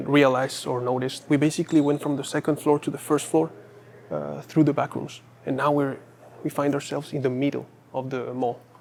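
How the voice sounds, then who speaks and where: Over noticeable background noise, a man speaks fairly quickly at a fairly high pitch with monotone, flat intonation. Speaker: urban exploration vlogger. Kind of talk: walking tour vlog. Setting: indoors in an empty mall. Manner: halting.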